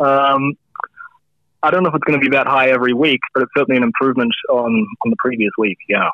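A man talks at a very fast pace with a fairly high pitch. His intonation is lively and his loudness very even. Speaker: fantasy football analyst. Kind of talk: interview on fantasy scores. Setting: phone call.

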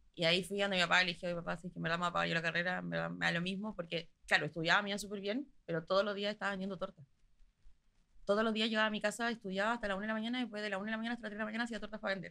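A woman with a Chilean accent speaks at a very fast pace and medium pitch. Her tone is bright and sharp, and her intonation fairly even. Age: 20s. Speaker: pastry chef and entrepreneur. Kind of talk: interview.

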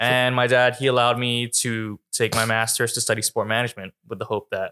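A man talks at a fairly quick pace and medium pitch, his intonation monotone and flat. The tone is bright and sharp, with a dry, close sound and no echo. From Hong Kong and Vancouver, Canada. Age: 20s. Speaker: podcast guest. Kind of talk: casual chat.

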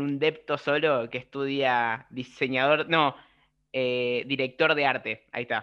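A fairly high male voice with fairly even intonation. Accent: Rioplatense. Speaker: podcast co-host. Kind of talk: casual chat.

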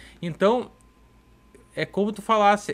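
A man's high-pitched voice comes through on a very clean recording with a silent background. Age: 30s. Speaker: podcast host and pastor. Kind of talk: casual podcast chat. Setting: live-streamed podcast studio.

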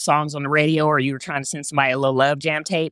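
Very fast and animated, a woman with a very deep, low pitch is heard in a very clean recording with a silent background and a dry, close sound with no echo. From Texas. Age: 50s. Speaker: broadcaster and announcer. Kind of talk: casual interview chat. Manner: animated, laughs often.

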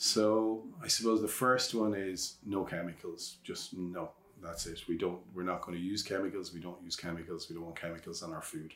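The speaker has a western Irish accent and a moderate pace. Intonation stays fairly even, with hardly any pauses. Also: man, very deep, low pitch for a man. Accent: Irish (west of Ireland). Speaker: organic vegetable farmer. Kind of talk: casual interview. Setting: outdoors on a farm.

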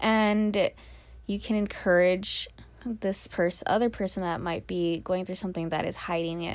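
In a very clean recording with a silent background, a woman with an unremarkable speaking voice talks at a moderate pace, her pitch medium and its variation ordinary. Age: 20s. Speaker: podcaster. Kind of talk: casual monologue. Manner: rambling, laughing often.

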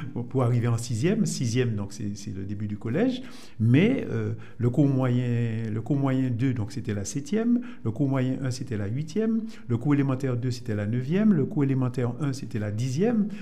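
Audible room echo surrounds a man speaking at a fairly slow pace. His pitch is medium, with ordinary variation. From Martinique, Fort-de-France. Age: 70s. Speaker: Lions Club member. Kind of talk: radio interview.

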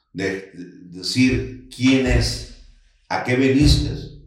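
A very slow pace with audible room echo. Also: man. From Sinaloa, Mexico (Los Mochis). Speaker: restaurant entrepreneur. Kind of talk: interview, casual chat. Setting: studio.

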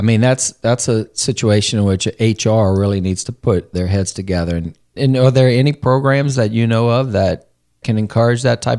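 An unremarkable speaking voice from a man, fairly low in pitch, with lively intonation, a fairly quick pace, and a dry, close sound with no echo. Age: 40s. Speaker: podcast host on human resources. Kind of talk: casual interview chat. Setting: studio.

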